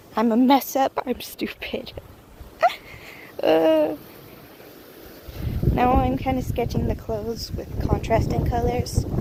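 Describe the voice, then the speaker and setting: A woman speaks at a very slow pace with long, frequent pauses. Noticeable background noise is present. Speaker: artist vlogger. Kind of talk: casual voiceover. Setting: outdoors, walking. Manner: casual rambling. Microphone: echoey room.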